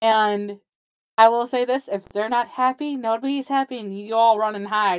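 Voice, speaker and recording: With an American accent, a woman talks at a moderate pace in a fairly high pitch and fairly even intonation, on a very clean recording with a silent background. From Wisconsin, US Upper Midwest. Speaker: TikTok creator and artist. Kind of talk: casual interview.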